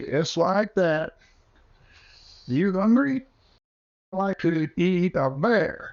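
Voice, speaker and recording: Using a put-on character voice pitched high for a man, he speaks at a very slow pace with lively intonation and long, frequent pauses. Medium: audio drama. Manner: gruff, terse, folksy Western.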